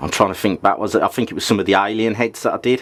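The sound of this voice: A man's fairly low-pitched voice with a fairly bright tone and ordinary pitch variation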